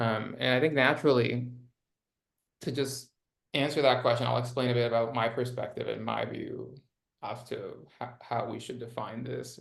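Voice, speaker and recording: Here a man speaks at a moderate pace with a non-native accent, his loudness swinging widely. Audible room echo surrounds the voice. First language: not English. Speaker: nonprofit impact strategist. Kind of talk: interview conversation. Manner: many filler words.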